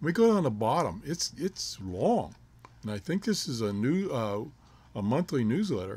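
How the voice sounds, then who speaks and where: A man talks at a moderate pace in a dark, mellow, somewhat breathy tone. His pitch swings very widely, and the recording is very clean with a silent background. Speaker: amateur radio YouTuber. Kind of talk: casual tutorial.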